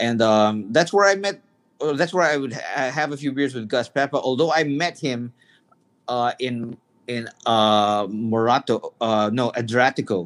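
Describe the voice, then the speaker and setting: A man with an unremarkable speaking voice, medium pitch and lively intonation. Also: fairly slow pace. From Canada, Toronto. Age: 50s. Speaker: music magazine publisher and concert promoter. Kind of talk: casual chat. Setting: video call.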